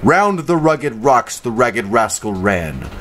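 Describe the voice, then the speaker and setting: Very wide pitch swings from a man at a very slow pace, over noticeable background noise. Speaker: voice actor. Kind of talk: vocal warm-ups and tongue twisters. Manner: repetitive, drilled, exaggerated articulation.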